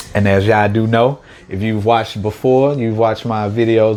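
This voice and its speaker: Against noticeable background noise, a man with an American accent speaks at a moderate pace in a monotone, flat intonation. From St. Louis, Missouri, US. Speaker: mukbang youtuber. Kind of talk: casual vlog talk to camera. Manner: relaxed, chatty with fillers.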